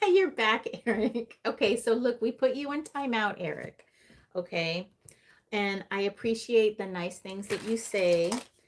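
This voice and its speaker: At a fairly slow pace, a woman speaks in an ordinary speaking voice with a fairly high pitch. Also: ordinary pitch variation. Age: 40s. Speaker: tarot reader. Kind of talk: live stream reading and chat. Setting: live stream on computer. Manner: casual, conversational.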